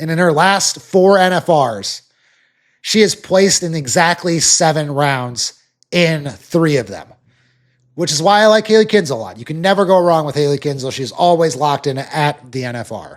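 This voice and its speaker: Recorded very cleanly over a silent background, a man with a Minnesotan accent talks at a fairly high pitch. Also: lively intonation, moderate pace. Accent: Minnesota. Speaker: rodeo analyst. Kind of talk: sports preview commentary.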